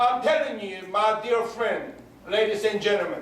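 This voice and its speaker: Over noticeable background noise and audible room echo, a man speaks. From Korea. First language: Korean. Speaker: political candidate. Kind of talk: campaign speech. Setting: rally with audience. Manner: animated.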